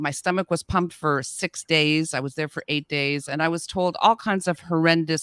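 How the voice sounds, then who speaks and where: A woman speaks in a fairly low pitch at a moderate pace with ordinary pitch variation. The sound is dry and close with no echo, the recording very clean and the background silent. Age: 60s. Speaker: voice actor and podcaster. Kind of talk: interview. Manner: halting.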